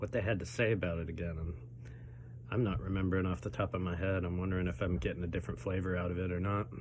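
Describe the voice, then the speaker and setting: A man talks very fast with a very deep, low voice, vocal fry and ordinary pitch variation. Audible room echo is present. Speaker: pepper-eating challenge youtuber. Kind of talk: casual vlog commentary while eating. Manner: halting with many fillers.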